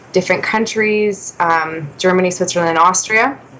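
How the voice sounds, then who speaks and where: A woman with a Canadian accent, medium in pitch with ordinary pitch variation, against noticeable background noise. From Canada, Ontario west of Toronto. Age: 20s. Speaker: singer-songwriter. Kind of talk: interview.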